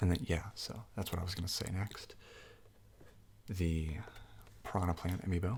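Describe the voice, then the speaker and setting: A soft-spoken man with a very deep, low pitch, a relaxed and somewhat breathy tone, long, frequent pauses and fairly even intonation. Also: moderate pace. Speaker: game shop clerk (role-play). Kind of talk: ASMR role-play, unscripted casual talk to customer. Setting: studio, Blue Yeti microphone. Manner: soft-spoken, relaxed.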